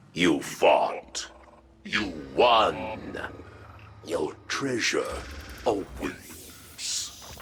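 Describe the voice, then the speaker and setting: Using a cartoonish character voice, a man talks at a very slow pace. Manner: flat, terse.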